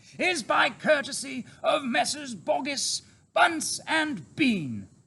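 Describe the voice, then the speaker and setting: Using a put-on character voice, a man speaks very slowly at an extremely high pitch. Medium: read story. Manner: confident, warm.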